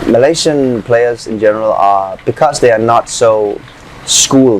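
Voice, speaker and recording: Over noticeable background noise, a man talks at a medium pitch with a Danish accent. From Denmark. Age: 20s. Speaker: footballer. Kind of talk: interview.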